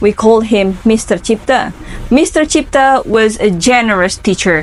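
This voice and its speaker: Speaking at a fairly slow pace, a woman with an Indonesian accent has a fairly high pitch. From Indonesia, Lampung. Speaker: English student. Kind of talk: interview answers.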